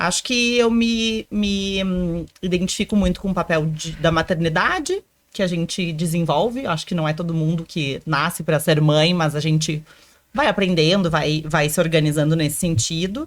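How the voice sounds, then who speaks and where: A woman speaks at a moderate pace. Her pitch sits fairly low, with ordinary variation. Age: 30s. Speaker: military dentist. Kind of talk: interview. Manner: halting.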